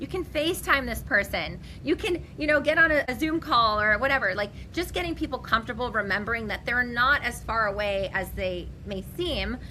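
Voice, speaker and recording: A woman talks with hardly any pauses in an animated, bright, sharp tone with vocal fry. Her fairly high voice has lively intonation. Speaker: business owner and real estate leader. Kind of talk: interview. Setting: podcast interview. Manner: fast.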